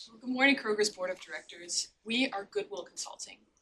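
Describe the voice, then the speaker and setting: A woman talks at a medium pitch. Her intonation is lively. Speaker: university student presenter. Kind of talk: business presentation. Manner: quiet.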